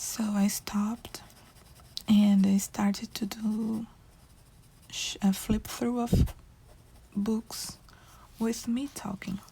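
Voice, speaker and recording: The speaker has a non-native accent and a very slow pace. Pauses are long and frequent. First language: not English. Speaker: coloring video creator. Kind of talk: casual chat while coloring. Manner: halting.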